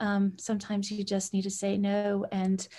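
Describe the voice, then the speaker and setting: A woman's somewhat breathy voice of medium pitch, dark and mellow in tone, at a fairly slow pace. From Canada (Edmonton, Alberta). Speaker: sleep technology entrepreneur. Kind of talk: interview.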